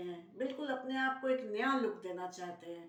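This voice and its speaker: A woman's high, lively voice with audible room echo. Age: 70s. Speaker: Ayurvedic beauty consultant. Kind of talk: tutorial.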